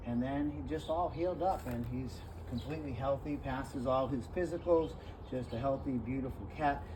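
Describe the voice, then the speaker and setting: A man at medium pitch with lively intonation, talking at a fairly quick pace amid audible room echo. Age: 60s. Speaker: animal rescuer. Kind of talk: casual talk to camera. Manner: halting, many fillers.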